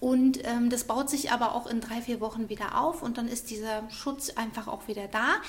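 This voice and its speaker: Over noticeable background noise, a woman speaks at a high pitch with fairly even intonation. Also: moderate pace. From Munich, Bavaria. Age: 40s. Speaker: beautician. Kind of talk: interview. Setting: studio.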